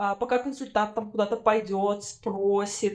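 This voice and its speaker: A woman at a moderate pace with a fairly high pitch, an ordinary speaking voice. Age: 20s. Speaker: podcast host. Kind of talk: casual chat.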